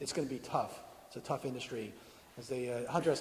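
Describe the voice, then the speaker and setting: The room echo is audible as a man speaks. He goes at a very fast pace with ordinary pitch variation. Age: 60s. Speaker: video game industry veteran giving a talk. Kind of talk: conference talk; audience Q&A answer.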